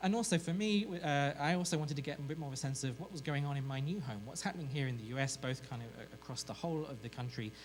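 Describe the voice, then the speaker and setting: A man talks at a very fast pace with hardly any pauses, lively intonation and a fairly high pitch. Noticeable background noise and audible room echo fill the recording. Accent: British. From Britain. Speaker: journalism professor and researcher. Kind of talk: conference presentation. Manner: hesitant, with many fillers.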